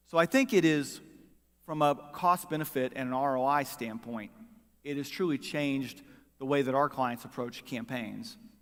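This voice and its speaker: Fairly even intonation marks a man's speech in an American accent. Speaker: political strategist. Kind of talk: conference talk. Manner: fast.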